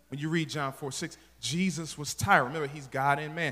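A man speaks at a very fast pace in a fairly high voice. His tone is animated, bright and sharp. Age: 40s. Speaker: pastor. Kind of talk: sermon. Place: church. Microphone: handheld.

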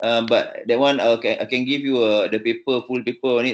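A man talks at a moderate pace with a Malaysian accent. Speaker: vascular surgeon. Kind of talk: teaching session. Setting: video call. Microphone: video call.

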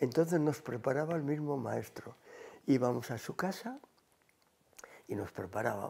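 With lively intonation and vocal fry, a man talks at a moderate pace in a dark, mellow tone, leaving long, frequent pauses. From Cantabria, Spain (Santander); Cantabria, Spain. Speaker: retired teacher. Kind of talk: oral history interview; interview answer. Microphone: lapel.

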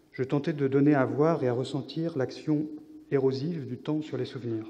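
A man's dark, mellow tone at a moderate pace, with fairly even intonation. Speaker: visual artist and scientific researcher. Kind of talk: conference talk. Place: hall. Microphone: podium.

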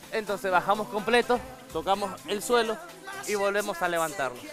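Clear music plays in the background as a man speaks at a moderate pace, the sound dry with no echo. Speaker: fitness instructor. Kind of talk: tutorial. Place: studio. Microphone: lapel.

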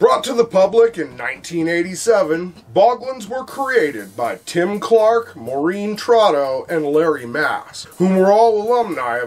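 A man's pitch swings very widely as he talks at a fairly slow pace. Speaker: host of a toy history show. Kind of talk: lecture-style commentary.

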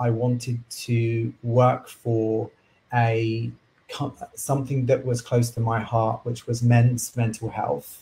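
At a very slow pace, a man talks at a medium pitch. His voice is somewhat breathy. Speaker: coach and chartered surveyor. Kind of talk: casual interview.

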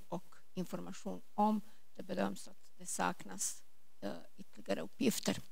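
A woman is speaking. She goes at a moderate pace. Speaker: government agency officer; presenter. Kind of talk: panel Q&A. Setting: stage with audience. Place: hall. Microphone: handheld.

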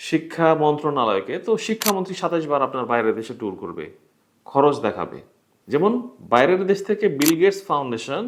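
Very wide pitch swings from a man's fairly high voice. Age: young. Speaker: YouTuber and website founder. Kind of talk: talking-head commentary. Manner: halting, many pauses.

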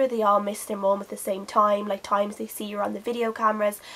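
A woman is speaking. Her pace is very fast. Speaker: book vlogger. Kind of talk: casual vlog chat, book review. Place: home room. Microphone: phone near.

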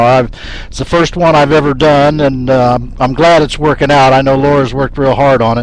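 A man in a dry sound with no echo, over light background noise. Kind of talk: lecture intro.

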